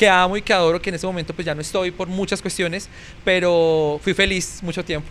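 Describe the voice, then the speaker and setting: Speaking fairly quickly with a Bogotá accent, a man uses a high pitch and fairly even intonation. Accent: Bogotá Colombian Spanish (rolo). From Colombia, Bogotá. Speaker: TV news presenter and journalist. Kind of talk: podcast interview.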